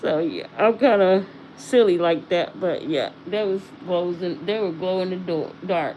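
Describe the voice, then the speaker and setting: This woman's pitch sits at a medium level and varies in an ordinary way. She talks fairly slowly. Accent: Southern US. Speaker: livestreamer reviewing beauty products. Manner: casual, chatty, self-deprecating.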